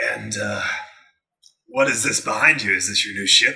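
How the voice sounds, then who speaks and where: Put-on character voice from a man, raspy and at a moderate pace. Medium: actual play. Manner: sly, friendly.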